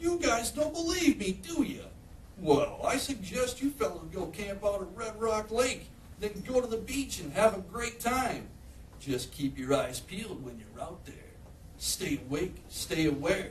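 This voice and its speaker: A man puts on a sing-song character voice, high-pitched with very wide pitch swings, at a moderate pace over clear background noise. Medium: read story. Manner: sing-song, rhyming.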